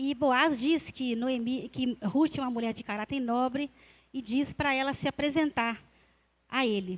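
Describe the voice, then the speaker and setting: Captured in a very clean recording with a silent background, a woman speaks at a high pitch. Her pace is fairly slow and her pitch variation ordinary. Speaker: Bible teacher at church. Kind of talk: Bible teaching in church service. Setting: church with congregation. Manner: hesitant, many fillers.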